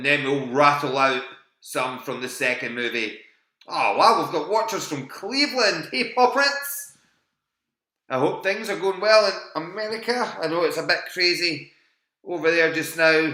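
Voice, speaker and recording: A man with a Scottish accent talks at a moderate pace with very wide pitch swings, and the room echo is audible. His voice is fairly high-pitched, with a bright, sharp tone. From Scotland. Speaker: quiz host. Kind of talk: live online quiz hosting. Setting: live stream from home. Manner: animated.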